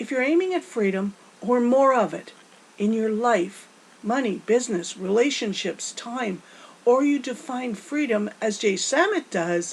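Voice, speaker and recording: A woman speaks at a fairly slow pace. Her fairly high voice has lively intonation. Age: 60s. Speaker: motivational speaker. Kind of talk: motivational talk. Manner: animated.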